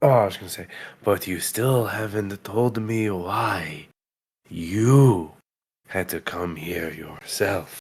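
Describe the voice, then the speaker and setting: A man's put-on character voice, fairly low-pitched and fairly slow, with big swings in loudness, on a very clean recording with a silent background. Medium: actual play. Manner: dry, sardonic.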